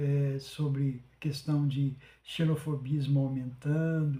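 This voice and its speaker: A man's voice sits at a fairly high pitch and sounds somewhat breathy. The tone is dark and mellow. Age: 70s. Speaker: podcast host. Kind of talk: monologue. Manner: halting, many fillers.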